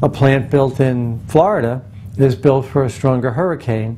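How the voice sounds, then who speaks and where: Against noticeable background noise, a man speaks at a fairly slow pace and a medium pitch. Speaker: nuclear engineer giving a presentation. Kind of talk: recorded presentation.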